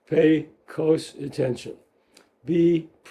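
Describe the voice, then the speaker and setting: A man's dark, mellow voice holds a monotone, flat intonation. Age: 80s+. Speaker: psychoanalyst. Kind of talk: interview. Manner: halting.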